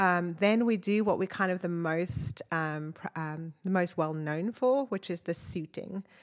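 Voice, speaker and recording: A woman with a South African accent, fairly low in pitch with ordinary pitch variation, at a fairly slow pace, on a very clean recording with a silent background. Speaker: nonprofit program director. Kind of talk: casual chat. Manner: animated.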